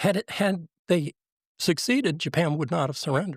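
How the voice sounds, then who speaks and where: The recording is very clean with a silent background and a dry, close sound with no echo. A man speaks somewhat breathily with ordinary pitch variation. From Virginia, US. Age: 60s. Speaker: military veteran and speaker. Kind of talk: interview storytelling. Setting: studio with live brunch audience.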